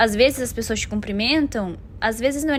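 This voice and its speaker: A woman speaks in a normal speaking voice, fairly high in pitch, with ordinary pitch variation. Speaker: vlogger. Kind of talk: casual vlog monologue.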